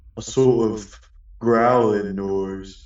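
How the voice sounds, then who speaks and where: Doing a put-on character voice, a man speaks in a fairly low pitch with monotone, flat intonation. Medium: audio drama.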